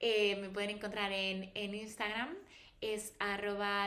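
A woman talks at a fairly slow pace with monotone, flat intonation. Audible room echo and noticeable background noise surround her. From Spain, Valladolid. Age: 30s. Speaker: pharmaceutical professional and wellness influencer. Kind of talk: casual interview chat. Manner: articulate.

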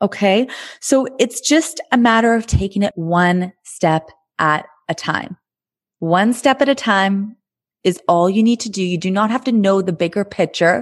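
A woman with a plain, everyday voice speaks at a fairly slow pace in a medium pitch, with lively intonation. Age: 30s. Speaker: podcast host and life coach. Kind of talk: solo podcast monologue.

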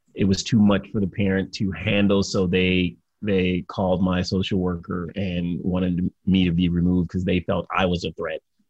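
An American accent at a moderate pace, with monotone, flat intonation. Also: man. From Detroit, Michigan. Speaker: motivational speaker and entrepreneur. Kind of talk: interview, life story.

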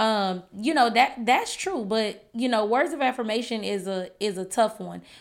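With an American accent, a woman in an unremarkable speaking voice talks at a moderate pace with fairly high pitch and ordinary pitch variation, on a very clean recording with a silent background. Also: hardly any pauses. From California, then Shreveport, Louisiana. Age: 30s. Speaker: podcast co-host. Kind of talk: casual chat.

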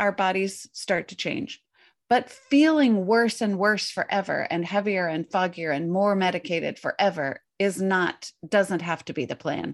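With lively intonation, a woman speaks at a fairly slow pace in a normal speaking voice at medium pitch. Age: 50s. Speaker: intermittent fasting coach and author. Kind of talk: interview.

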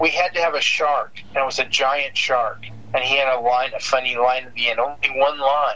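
A man speaks fairly quickly in an American accent, with fairly even intonation and noticeable background noise. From US West Coast, San Diego. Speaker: cartoonist. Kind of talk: casual interview. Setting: phone call.

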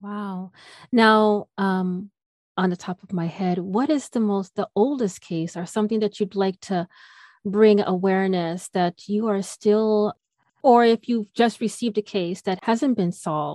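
A woman's normal speaking voice at medium pitch, fairly slow in pace, with ordinary pitch variation. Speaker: podcast host. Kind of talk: interview questions.

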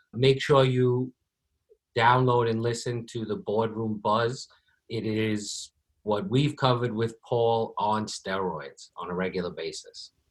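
A man's somewhat breathy, medium-pitched voice at a fairly slow pace, with ordinary pitch variation, on a very clean recording with a silent background. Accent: American. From New York. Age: 40s. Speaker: podcast host, pest control business owner. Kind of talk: casual interview.

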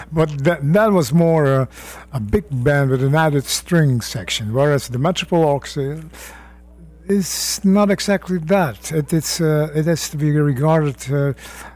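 In a Dutch accent, a man talks at a fairly slow pace with a fairly high, somewhat breathy voice and ordinary pitch variation. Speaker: jazz arranger and bandleader. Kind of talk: radio interview. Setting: radio studio.

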